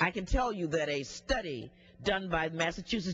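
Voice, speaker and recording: Noticeable background noise runs beneath a woman speaking at a moderate pace with an American accent. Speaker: member of the US House of Representatives. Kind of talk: congressional floor speech.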